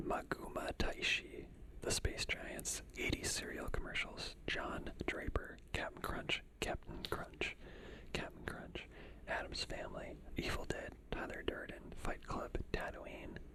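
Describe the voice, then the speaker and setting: Someone whispers at a very slow pace. Noticeable background noise runs underneath. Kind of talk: ASMR reading. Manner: whispered.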